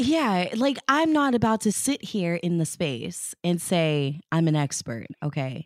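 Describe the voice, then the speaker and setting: A woman speaks at a fairly slow pace with hardly any pauses and very even loudness, her fairly low pitch swinging very widely. The recording is very clean with a silent background and a dry, close sound with no echo. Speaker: radio host and traffic reporter. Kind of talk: casual interview chat.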